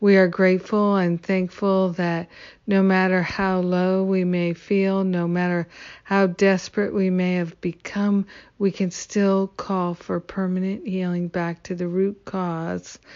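The woman's tone is warm and gentle, her pitch medium. She talks at a fairly slow pace with monotone, flat intonation. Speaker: spiritual prayer leader. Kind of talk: fervent spoken prayer, affirmations, invocation. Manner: warm, gentle, devout, repetitive cadence.

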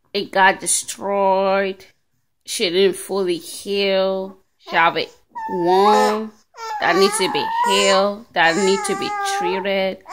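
A woman speaks slowly at a medium pitch. Her intonation is lively.

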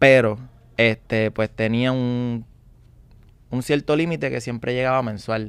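This man speaks at a medium pitch and a fairly slow pace, with fairly even intonation. He leaves long, frequent pauses, and the sound is dry with no echo. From Puerto Rico. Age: 20s. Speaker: young salesman. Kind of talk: interview testimony. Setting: studio. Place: studio. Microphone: studio mic.

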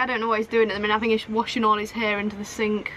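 A woman's raised, projected voice, dry with no echo, over light background noise. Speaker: sailing vlogger. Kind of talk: casual vlog chat. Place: boat. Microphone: phone near.

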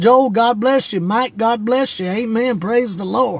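The sound is dry, with no echo. Pitch varies in an ordinary way at a fairly slow pace. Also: man. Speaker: preacher. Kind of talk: sermon. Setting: outdoors by his car, livestream. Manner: animated. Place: car. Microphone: phone near.

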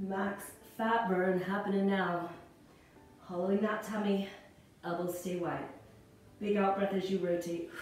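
A woman speaks fairly slowly in a monotone, flat intonation, with long, frequent pauses. Strong room echo surrounds her, with faint music in the background. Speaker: fitness instructor. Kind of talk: workout instruction cueing. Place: home room.

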